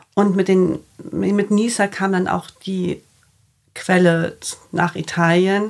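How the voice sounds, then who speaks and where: Monotone, flat intonation at a very slow pace with long, frequent pauses, on a very clean recording with a silent background. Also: woman, medium pitch for a woman. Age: 30s. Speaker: fashion label founder. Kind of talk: casual interview.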